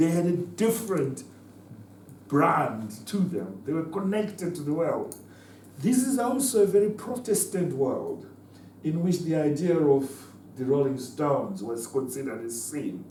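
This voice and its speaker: A man's fairly high, dark, mellow voice with vocal fry and very wide pitch swings, at a fairly slow pace, with audible room echo. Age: 70s. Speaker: former liberation fighter and political speaker. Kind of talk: talk to students. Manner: halting, many repetitions.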